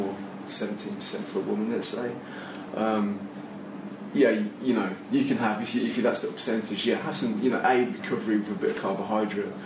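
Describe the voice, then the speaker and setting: Against noticeable background noise, a man speaks at a fairly quick pace with a fairly low pitch. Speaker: panelist. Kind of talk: panel discussion answer. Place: meeting room.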